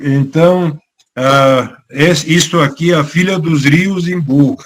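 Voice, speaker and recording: Fairly even in intonation, a man with a fairly high pitch talks at a very slow pace. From Bulgaria. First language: Bulgarian (speaking Portuguese). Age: 70s. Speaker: author. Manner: halting, many fillers.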